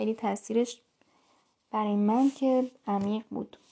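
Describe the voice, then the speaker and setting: A dark, mellow tone with monotone, flat intonation at a fairly slow pace. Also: woman. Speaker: podcaster. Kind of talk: casual voice diary.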